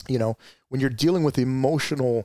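Recorded very cleanly against a silent background, a man with an American accent talks at a fairly high pitch with ordinary pitch variation, the sound dry and close with no echo. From Arizona, East Valley. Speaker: retired police officer and life coach. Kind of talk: interview. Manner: halting.

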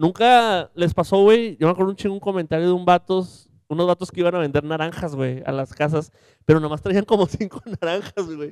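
A man talks at a fairly quick pace in a high pitch. The sound is dry and close, with no echo. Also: ordinary pitch variation. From Mexico, Monterrey area (Santa Catarina). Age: 20s. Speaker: podcast co-host. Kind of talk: casual chat.

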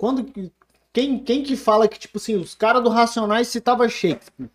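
With big swings in loudness and long, frequent pauses, a man speaks at an extremely high pitch. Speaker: beatmaker. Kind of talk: casual chat.

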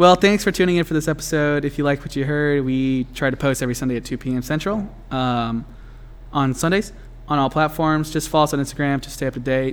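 Fairly high pitch for a man, a plain, everyday voice, ordinary pitch variation and a fairly quick pace. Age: 20s. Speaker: podcast co-host. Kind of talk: casual chat; scripted outro. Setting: cold shed recording space.

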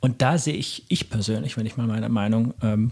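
Recorded very cleanly over a silent background, a man speaks at a moderate pace and medium pitch, somewhat breathy, with fairly even intonation. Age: 30s. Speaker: podcast host. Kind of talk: interview conversation. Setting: in person, recorded in Erlangen.

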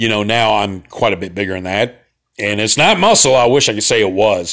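A man talks at a fairly quick pace with a Central Alabama accent and ordinary pitch variation. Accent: Central Alabama Southern. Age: 40s. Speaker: podcast host, Army veteran. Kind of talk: casual solo podcast monologue. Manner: casual, rambling, profane.

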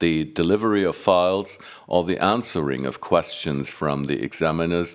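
At a moderate pace, a man speaks with vocal fry in a very deep, low pitch with ordinary pitch variation. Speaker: news presenter. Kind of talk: formal newsreading, scripted bulletin. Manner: formal, measured; even, neutral, read-aloud delivery.

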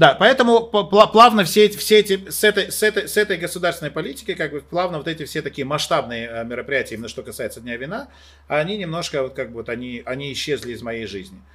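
A man's high, animated voice at a very fast pace, with very wide pitch swings and big swings in loudness. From Moldova. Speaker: event host and TV presenter. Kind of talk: casual chat.

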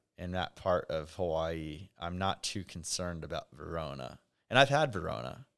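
Vocal fry runs through a man's very deep, low voice as he talks with lively intonation in a very clean recording with a silent background. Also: moderate pace. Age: 20s. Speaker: event promoter. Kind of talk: casual chat.

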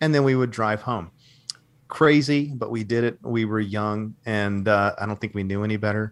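A plain, everyday voice: a man with an American accent, fairly low in pitch, at a moderate pace with ordinary pitch variation. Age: 40s. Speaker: actor. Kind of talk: interview.

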